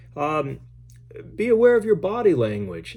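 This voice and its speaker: With audible room echo, a man speaks in a dark, mellow tone with lively intonation. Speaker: criminal justice professor. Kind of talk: lecture. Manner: loud; hesitant, many fillers and repeats.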